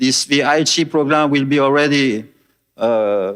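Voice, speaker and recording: With a French accent, a man speaks at a fairly slow pace and fairly high pitch with ordinary pitch variation, in a very clean recording with a silent background. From France. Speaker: devotee. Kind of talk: testimony. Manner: halting.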